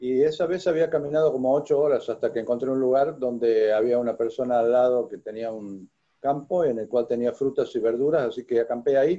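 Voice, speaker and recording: Hardly pausing, a man speaks at a fairly quick pace. His dark, mellow tone sits at a medium pitch with ordinary variation. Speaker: zen teacher. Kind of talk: dharma talk with personal story. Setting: video call.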